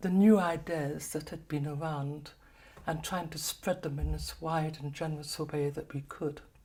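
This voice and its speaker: Her voice is very deep and low, with a dark, mellow tone and some breathiness. The woman speaks at a moderate pace. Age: 70s. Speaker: kinesiology practitioner. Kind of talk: personal talk to camera. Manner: halting.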